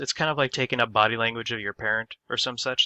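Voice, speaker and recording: Medium pitch, ordinary pitch variation and a plain, everyday voice from a man. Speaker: student. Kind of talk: class presentation. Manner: casual.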